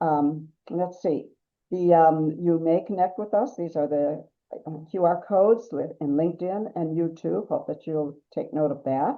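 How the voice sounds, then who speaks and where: In a Wisconsin accent, a woman speaks at a fairly slow pace and fairly low pitch with ordinary pitch variation. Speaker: webinar host. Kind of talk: webinar introduction. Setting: online webinar.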